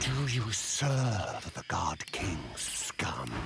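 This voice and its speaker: A man's hissing, growling put-on character voice at medium pitch. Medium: machinima.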